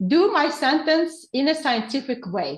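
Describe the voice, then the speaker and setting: A woman with an Uzbek accent speaks with lively intonation against a quiet background. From Uzbekistan. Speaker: teacher trainer, researcher. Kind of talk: webinar Q&A answer. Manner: halting.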